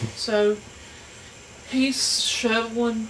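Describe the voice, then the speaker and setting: Noticeable background noise beneath a woman's voice with fairly even intonation. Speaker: storyteller. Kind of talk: folk tale storytelling. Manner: casual, conversational.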